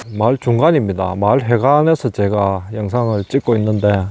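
A man's voice with a dark, mellow tone comes through as a dry sound with no echo. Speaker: rural property vlogger. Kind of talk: casual vlog commentary. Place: open country. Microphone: phone near.

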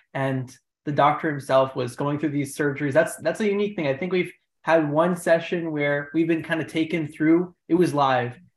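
Audible room echo surrounds the voice. The pace is fairly quick. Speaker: session host asking questions. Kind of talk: session hosting. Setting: video call. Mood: friendly, appreciative. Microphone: video call.

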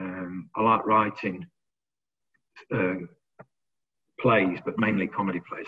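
Against a quiet background, a man with a fairly low pitch speaks at a moderate pace in a monotone, flat intonation. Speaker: recovery community coordinator. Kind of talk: casual interview. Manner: jokey, laughs often. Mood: modest, friendly. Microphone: video call.

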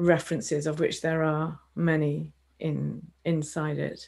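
Against a quiet background, a woman talks in a fairly low pitch with monotone, flat intonation. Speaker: dance festival director; interviewer. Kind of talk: interview host. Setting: video call. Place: home room. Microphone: earbuds.

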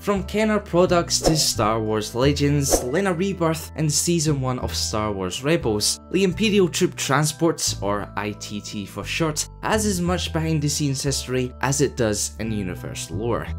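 Someone with a Scottish accent talks with hardly any pauses while music plays in the background. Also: moderate pace. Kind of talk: lore narration.

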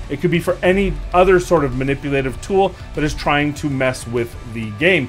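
A man's voice with faint music in the background. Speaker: gaming content creator. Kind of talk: commentary.

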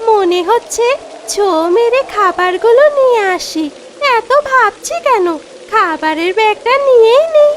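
A cartoonish character voice that sounds female speaks at a fairly slow pace with an extremely high pitch over clear background noise.

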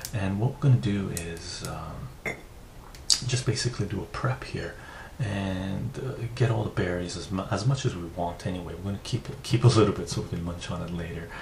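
In a plain, everyday voice, a man with a fairly low pitch talks at a moderate pace with ordinary pitch variation over light background noise. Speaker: ASMR creator. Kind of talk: soft-spoken tutorial. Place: home room.

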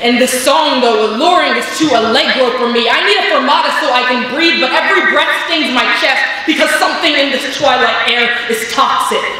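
Strong room echo surrounds a woman's high, raised and projected voice, which holds a very even loudness. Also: ordinary pitch variation, moderate pace, hardly any pauses. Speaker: slam poet. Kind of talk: spoken word performance. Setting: stage with audience. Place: stage. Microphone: pa.

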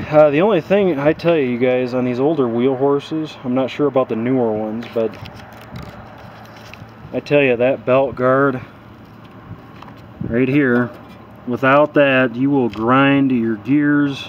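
Long, frequent pauses break up a man's fairly slow speech. His intonation is fairly even, with light background noise behind him. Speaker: tractor owner. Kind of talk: casual vlog chat. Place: street. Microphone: phone near.

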